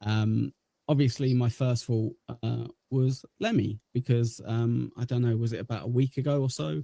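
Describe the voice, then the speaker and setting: With an English accent, a man talks at medium pitch in a somewhat breathy voice with a dark, mellow tone, ordinary pitch variation and a dry, close sound with no echo. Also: moderate pace. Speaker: livestream host. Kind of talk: casual chat. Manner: hesitant, many filler words.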